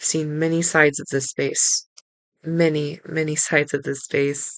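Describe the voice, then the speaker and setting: With an American accent, a woman speaks at a moderate pace in a very deep, low pitch and a monotone, flat intonation. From Texas. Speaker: podcast host, tarot reader. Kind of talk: spiritual podcast talk.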